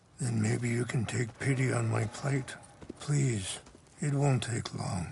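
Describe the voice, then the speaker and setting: A man puts on a character voice that is raspy and medium in pitch. He talks at a fairly slow pace. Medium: video game. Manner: calm, soft-spoken.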